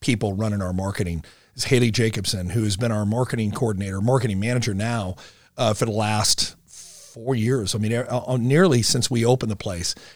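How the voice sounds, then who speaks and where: With a plain, everyday voice, a man speaks at a medium pitch and moderate pace, his pitch varying in an ordinary way. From US Midwest, Omaha, Nebraska. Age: 50s. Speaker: business founder. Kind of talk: casual interview.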